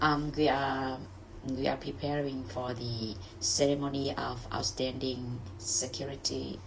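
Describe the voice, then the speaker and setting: A woman speaks at a fairly slow pace in a very deep, low voice with vocal fry and a Vietnamese accent. Her pitch varies in an ordinary way, and the room echo is audible. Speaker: English learner. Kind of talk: reading aloud; casual chat. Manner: halting.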